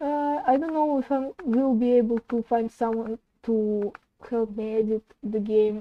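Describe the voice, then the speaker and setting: A woman's fairly high voice with a non-native accent, a dark, mellow tone and fairly even intonation, at a very slow pace, with a dry, close sound with no echo. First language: not English. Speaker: indie game developer streamer. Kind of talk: casual live stream chat while working. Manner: halting.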